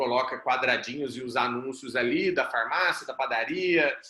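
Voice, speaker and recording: The speaker is a man with a bright, sharp tone. He talks at a fairly slow pace. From Brazil, Mato Grosso do Sul (Campo Grande). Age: 30s. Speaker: startup founder and CEO, mentor. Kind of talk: group mentoring talk, personal story. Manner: casual, conversational.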